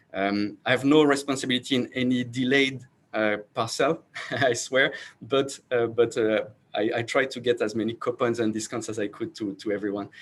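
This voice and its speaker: A man with a French accent talks at a moderate pace with fairly even intonation. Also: medium pitch for a man. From France. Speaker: startup founder and CEO. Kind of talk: panel self-introduction. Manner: halting, many fillers and repeats.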